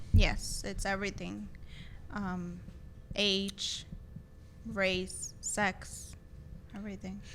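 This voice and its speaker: A woman talks at a very slow pace. She leaves long, frequent pauses, and room echo is audible. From Texas, El Paso. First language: Spanish. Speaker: associate attorney. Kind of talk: interview.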